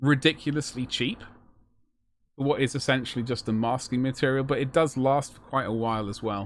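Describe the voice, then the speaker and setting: A man in a British accent speaks at a medium pitch. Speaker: miniature painting streamer. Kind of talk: live stream casual chat. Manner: fast.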